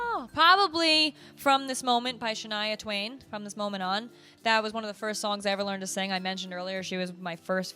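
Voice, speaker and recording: An American accent comes through with lively intonation and an animated tone. The pace is fairly quick, with music playing in the background. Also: woman. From USA. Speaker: voice teacher. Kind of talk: casual Q&A vlog. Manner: stutters sometimes when passionate.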